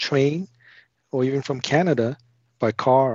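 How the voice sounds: A man at medium pitch speaks with a slightly mellow tone and a slightly husky edge, in a dry, close sound with no echo. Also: ordinary pitch variation, fairly slow pace.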